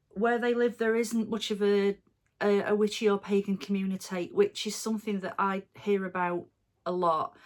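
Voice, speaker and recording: Delivered at a moderate pace, the speech has an English Midlands accent and fairly even intonation. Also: woman, medium pitch for a woman. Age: 40s. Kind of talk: casual Q&A monologue. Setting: at home. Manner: relaxed, many fillers.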